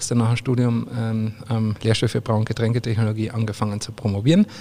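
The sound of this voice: A man speaks fast in a fairly low pitch. His tone is dark and mellow, with fairly even intonation.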